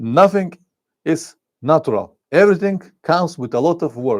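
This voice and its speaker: Intonation runs lively as a man talks with a non-native accent. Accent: foreign accent in English. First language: Bulgarian. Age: 50s. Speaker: motorcycle travel vlogger. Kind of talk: live stream chat reading comments. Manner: halting, searching for words.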